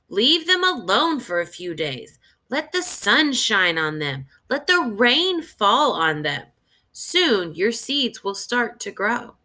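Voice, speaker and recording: A woman's put-on character voice, fairly high in pitch, with very wide pitch swings and a fairly slow pace. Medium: read story. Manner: patient, reassuring.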